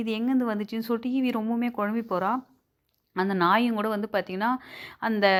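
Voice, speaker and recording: Over a silent background on a very clean recording, a woman speaks with a plain, everyday voice, fairly high in pitch and fairly even in intonation. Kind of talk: movie recap narration. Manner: casual, conversational.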